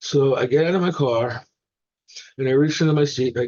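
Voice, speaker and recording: Someone talks in a New York accent at a fairly quick pace with ordinary pitch variation. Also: man. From New York, the Bronx. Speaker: recovering alcoholic sharing his story. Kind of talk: testimony at a recovery meeting. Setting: meeting with audience. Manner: casual, humorous storytelling.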